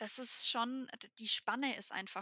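Bright and sharp in tone, a woman speaks at a moderate pace. The sound is dry and close, with no echo. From Germany. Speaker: B2B tech saleswoman. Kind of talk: casual interview.

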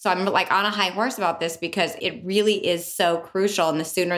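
A woman speaks at a fairly quick pace in a fairly low pitch with fairly even intonation. Hers is an unremarkable speaking voice. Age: 50s. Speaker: podcast co-host. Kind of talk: casual chat. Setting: studio.

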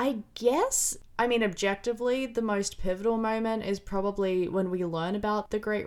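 A woman has an unremarkable speaking voice at medium pitch with fairly even intonation. She keeps a moderate pace on a very clean recording with a silent background. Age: 20s. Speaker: film review podcaster. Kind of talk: solo podcast review.

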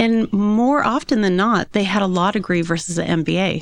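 Against a quiet background, a woman talks fairly quickly at a medium pitch with lively intonation. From Southern California, Yorba Linda. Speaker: wealth advisor. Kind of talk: interview.

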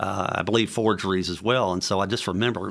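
With a Tennessee accent, a man talks at a fairly quick pace. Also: very clean recording, silent background. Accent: Southern US (Tennessee). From Memphis, Tennessee (US South), born in Louisiana. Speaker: entrepreneur and author. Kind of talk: interview.

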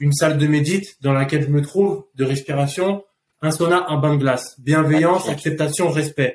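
A man with a fairly high pitch talks at a moderate pace. He has a plain, everyday voice with fairly even intonation. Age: 30s. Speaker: food company co-founder. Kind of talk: casual chat. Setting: in person, Phuket, Thailand.

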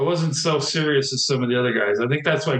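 With an ordinary speaking voice, a man talks at a fairly quick pace and medium pitch, using ordinary pitch variation. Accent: American. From Southern California. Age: 50s. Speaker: retired ATV and motocross racer. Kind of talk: casual interview.

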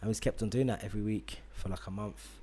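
A somewhat breathy voice with a London accent. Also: man. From England. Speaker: podcast host. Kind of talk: casual chat. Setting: studio.

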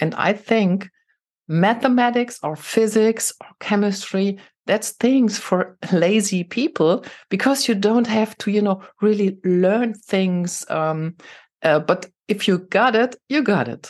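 A woman with a German accent speaks at a very slow pace and medium pitch. Her pitch varies in an ordinary way over a quiet background. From Germany, Saarland. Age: 50s. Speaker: tech executive and women's network founder. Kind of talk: interview.

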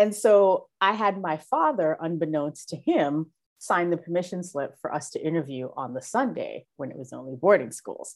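Speaking in a New York accent, a woman with a fairly low pitch and lively intonation talks at a moderate pace with hardly any pauses against a quiet background. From Brooklyn, New York. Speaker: school diversity director and teacher. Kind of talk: interview.

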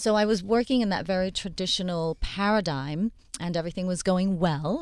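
In an unremarkable speaking voice, a woman with a fairly low pitch and ordinary pitch variation talks at a fairly quick pace on a very clean recording with a silent background. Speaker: plastic surgeon. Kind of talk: radio panel discussion. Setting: studio.

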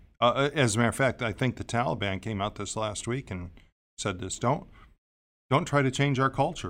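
A man with a normal speaking voice, ordinary pitch variation and a moderate pace, on a very clean recording with a silent background. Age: 50s. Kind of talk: casual panel discussion. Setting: studio.

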